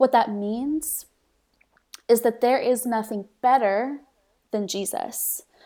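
Speaking in an American accent, a woman has a high yet dark, mellow voice with ordinary pitch variation. She goes at a very slow pace, with long, frequent pauses. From Mexico City, raised by US missionary parents. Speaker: social media ministry leader. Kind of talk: faith podcast conversation.

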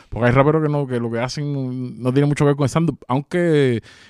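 A man with a Cuban accent talks at a very fast pace. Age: 30s. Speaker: rapper. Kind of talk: casual chat. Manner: animated.

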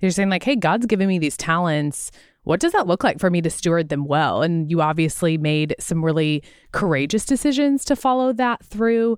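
Here is a woman with an ordinary speaking voice, fairly low in pitch. She talks at a fairly quick pace with lively intonation. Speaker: podcast co-host. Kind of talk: casual chat.

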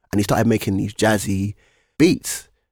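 On a very clean recording with a silent background, a man with a London accent talks very fast at a fairly low pitch with ordinary pitch variation. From East London. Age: 20s. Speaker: rapper. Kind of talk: casual chat. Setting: studio.

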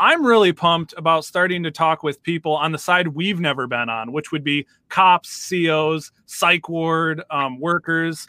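With a normal speaking voice, a man speaks at a moderate pace and a fairly high pitch. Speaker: podcast co-host. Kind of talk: casual interview chat.

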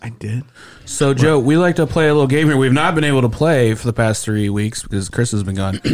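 A man speaks at a fairly quick pace with a medium pitch. He has a plain, everyday voice. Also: ordinary pitch variation. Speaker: podcast host. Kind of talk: casual comedy podcast chat. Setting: studio.

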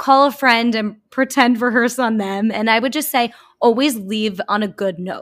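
Over a silent background in a very clean recording, a woman uses a normal speaking voice at fairly high pitch, moderate pace and ordinary pitch variation. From US, Long Island, New York. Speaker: self-care YouTuber and podcaster. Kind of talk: casual interview.

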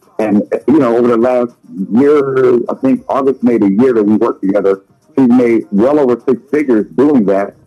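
A man speaks at a medium pitch with ordinary variation and very even loudness. Music plays behind him. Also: moderate pace. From Louisiana. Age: 40s. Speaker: business coach and consultant. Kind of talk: radio interview. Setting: phone call. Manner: animated.

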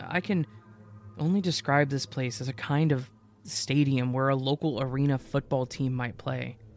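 A man speaks at a medium pitch with a dramatic tone. His pace is fairly slow. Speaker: horror story narrator. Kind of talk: ghost story narration, spooky creepypasta reading. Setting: online video channel narration. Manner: dramatic, suspenseful pacing; conversational, casual.

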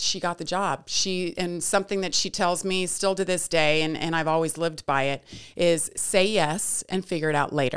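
In a very clean recording with a silent background, a woman with an American accent uses a normal speaking voice, fairly low in pitch, with fairly even intonation at a moderate pace. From US West, Lake Tahoe and Las Vegas. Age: 40s. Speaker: sportscaster. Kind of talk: casual chat.

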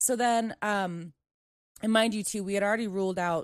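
A woman with a normal speaking voice and an American accent, at a moderate pace with fairly even intonation, dry and close with no echo, over a quiet background. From US, Maryland. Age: 20s. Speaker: veteran, nonprofit worker. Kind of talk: casual chat.

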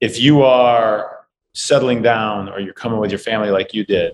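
This man has a fairly low pitch and speaks with a Midwestern US accent. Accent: US Midwest. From St. Louis, Missouri (Webster Groves). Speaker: business executive. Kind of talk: casual interview chat.

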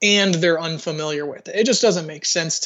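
A man talks in an American accent. His pitch is high. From US South, Georgia (south of Atlanta). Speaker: army veteran. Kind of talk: interview. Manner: hesitant, many fillers.

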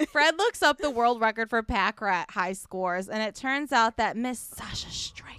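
In a very clean recording with a silent background and a dry, close sound with no echo, a woman with a Chicago accent talks at a fairly high pitch with ordinary pitch variation. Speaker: podcast co-host. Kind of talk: casual, profane.

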